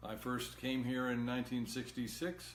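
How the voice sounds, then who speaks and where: With audible room echo, a man talks in an American accent. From Massachusetts. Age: 70s. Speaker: political candidate. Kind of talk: live-stream Q&A monologue. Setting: Facebook live video. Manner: halting.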